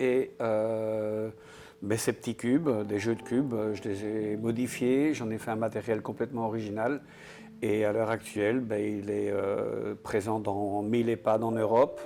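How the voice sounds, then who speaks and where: A man talks with a dark, mellow tone at a fairly low pitch. His delivery is flat and monotone at a fairly slow pace. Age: 60s. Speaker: entrepreneur, game inventor. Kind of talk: interview.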